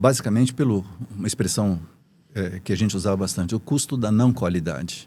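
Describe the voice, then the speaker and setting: A man with a dark, mellow tone and fairly low pitch speaks at a moderate pace with ordinary pitch variation, on a very clean recording with a silent background. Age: 70s. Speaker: engineer and business mentor. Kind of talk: podcast interview. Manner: hesitant, many fillers.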